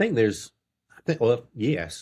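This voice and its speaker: This is a man talking. He has a Mississippi accent. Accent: Southern US (Mississippi). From Mississippi, US South. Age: 60s. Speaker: faith-based life coach. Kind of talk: interview conversation.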